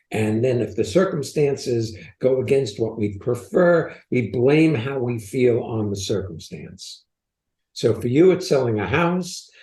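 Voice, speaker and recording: With lively intonation, a man speaks at a medium pitch in a somewhat breathy voice with a dark, mellow tone. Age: 80s. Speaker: podcast co-host, transformation coach. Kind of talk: coaching conversation on podcast.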